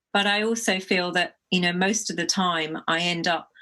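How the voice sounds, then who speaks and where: A woman talks at a fairly slow pace in a medium pitch, her tone bright and sharp. Her intonation is fairly even, and the background is quiet. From England. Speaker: poet. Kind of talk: interview answers. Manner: halting.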